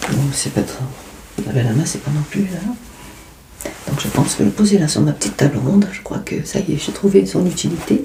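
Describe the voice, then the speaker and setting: Very wide pitch swings run through a woman's very deep, low voice as she speaks at a moderate pace with noticeable background noise. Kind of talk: ASMR unboxing. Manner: soft-spoken.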